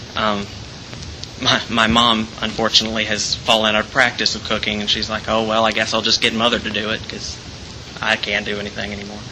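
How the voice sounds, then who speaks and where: Over noticeable background noise, a man talks at a fairly quick pace in a fairly low pitch, his intonation monotone and flat. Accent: American. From Alabama, near Birmingham. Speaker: theater student. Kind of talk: personal storytelling. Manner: hesitant, many fillers and repeats.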